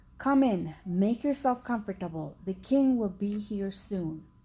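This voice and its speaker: Putting on a character voice, a woman speaks shakily at a fairly slow pace and a medium pitch. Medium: read story.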